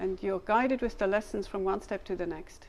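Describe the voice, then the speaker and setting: The speaker is a woman. She talks with a German accent. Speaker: language learning materials developer. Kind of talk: scripted interview.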